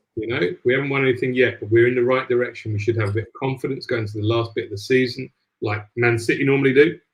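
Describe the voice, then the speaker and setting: Talking very fast in a Cockney accent, a man with a medium pitch sounds somewhat breathy and keeps his intonation fairly even. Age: 50s. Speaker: football podcast host. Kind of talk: casual football chat.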